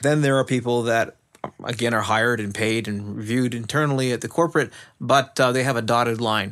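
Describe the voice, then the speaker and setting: A man with an ordinary speaking voice talks at a medium pitch and a fairly quick pace, his intonation fairly even. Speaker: IT service management expert. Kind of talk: casual chat.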